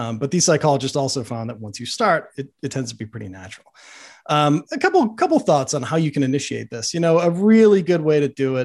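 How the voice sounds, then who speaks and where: A man talks very fast with lively intonation and a fairly high pitch. The recording is very clean, with a silent background. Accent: American. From US Northeast, Boston. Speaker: journalist and author. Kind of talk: interview. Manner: casual, filler-heavy.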